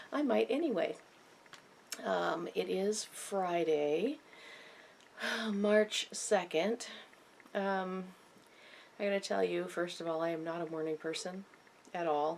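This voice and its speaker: Soft-spoken, a woman talks at a very slow pace with long, frequent pauses. Her voice is fairly low, with lively intonation. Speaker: knitting podcaster. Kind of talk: casual chat.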